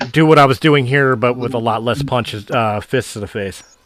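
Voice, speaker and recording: Putting on a raspy character voice, a man talks at a fairly quick pace and a medium pitch. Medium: actual play.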